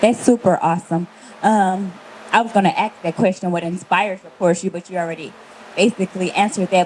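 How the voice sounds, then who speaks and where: A woman's medium-pitched voice holds a fairly even intonation while noticeable background noise carries on behind it. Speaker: podcast host. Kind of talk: casual podcast hosting.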